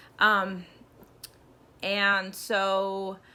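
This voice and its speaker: A woman speaks at a medium pitch. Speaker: person who stutters. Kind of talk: casual talk to camera.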